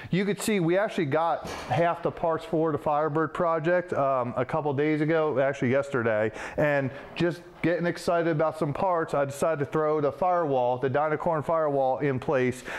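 A man's voice at a fairly quick pace, with very even loudness and ordinary pitch variation. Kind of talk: tutorial. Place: workshop.

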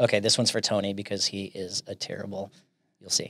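Recorded with a dry sound and no echo, a man speaks at a fairly low pitch. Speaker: podcast host. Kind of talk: casual interview chat. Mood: playful, animated. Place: studio. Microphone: studio mic.

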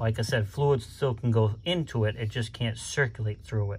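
A somewhat breathy male voice at a moderate pace with ordinary pitch variation. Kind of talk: DIY tutorial vlog. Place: bus. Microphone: phone near.

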